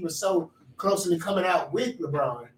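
Noticeable background noise sits behind a man with a high pitch, fairly even intonation and an American accent. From Texas. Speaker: podcast co-host. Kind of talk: casual chat.

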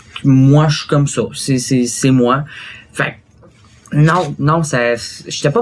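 Over noticeable background noise, a man's mid-range voice shows ordinary pitch variation. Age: 20s. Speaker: interview guest. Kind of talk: interview.

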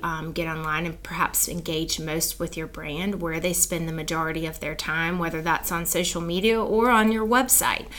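A woman at fairly low pitch, moderate pace and ordinary pitch variation, with audible room echo. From US South, South Carolina. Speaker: advertising agency owner. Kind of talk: interview.

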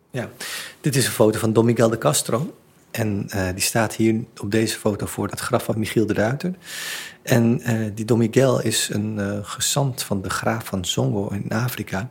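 A man speaks at a fairly slow pace, his medium pitch moving with ordinary variation and a somewhat breathy quality. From Netherlands, Surinamese family. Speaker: theatre director and exhibition curator. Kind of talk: interview. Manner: halting, many repeated words.

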